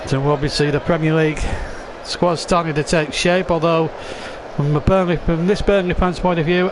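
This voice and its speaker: Over noticeable background noise, a speaker with a Lancashire accent talks at a moderate pace with fairly even intonation. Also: man. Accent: northern English (Lancashire). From England. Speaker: football commentator. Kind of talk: live commentary.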